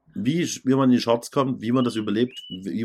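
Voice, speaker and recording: A man speaks in a plain, everyday voice. He keeps a moderate pace with ordinary pitch variation. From Saxony, Germany. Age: middle-aged. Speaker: DJ and podcast co-host. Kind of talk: casual chat.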